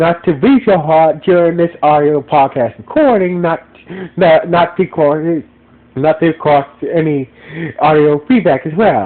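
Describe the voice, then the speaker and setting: A man with a high voice, a fairly slow pace and very even loudness. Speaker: podcast reviewer. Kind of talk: casual review monologue. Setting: audio podcast recording. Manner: loud and slow; halting, many repetitions.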